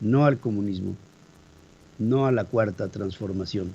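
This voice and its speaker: A man's fairly low, somewhat breathy voice at a fairly slow pace, with ordinary pitch variation. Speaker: radio news host. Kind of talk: news commentary.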